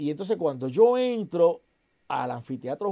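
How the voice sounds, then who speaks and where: This man's voice is high-pitched, with a dark, mellow tone. His pitch swings very widely over a quiet background. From southern Puerto Rico (Santa Isabel); Puerto Rico. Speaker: actor and comedian; actor, comedian. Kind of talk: casual interview chat. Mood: animated storytelling. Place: studio.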